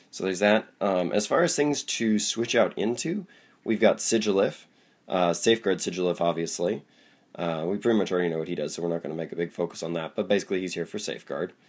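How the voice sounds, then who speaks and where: Husky and very deep in pitch, a man speaks at a very fast pace. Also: ordinary pitch variation. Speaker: Pokemon card game YouTuber. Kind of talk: deck review tutorial. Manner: casual with many fillers.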